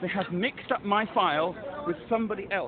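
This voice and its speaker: A man speaks in a high voice over noticeable background noise. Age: 60s. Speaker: wheelchair user with a complaint. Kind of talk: phone call complaint. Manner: insistent; halting.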